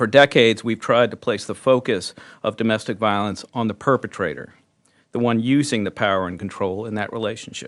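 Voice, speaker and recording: Against a quiet background, a man speaks fairly quickly at medium pitch with fairly even intonation, in a normal speaking voice. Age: 60s. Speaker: prosecutor representing a prosecutors' association. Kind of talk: press conference speech. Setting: news conference. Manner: formal.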